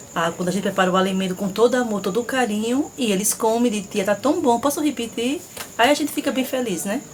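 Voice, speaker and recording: Over noticeable background noise, a woman talks very fast. Her voice is fairly high, with lively intonation. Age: 40s. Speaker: school cook, interviewee. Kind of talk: interview.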